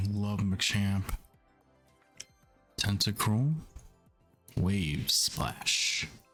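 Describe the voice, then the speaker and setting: A man's fairly low voice broken by long, frequent pauses, with music in the background. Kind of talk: ASMR gaming commentary.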